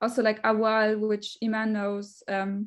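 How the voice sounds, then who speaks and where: With a non-native accent, a woman speaks at a fairly slow pace in monotone, flat intonation. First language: not English. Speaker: researcher. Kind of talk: panel discussion. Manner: halting.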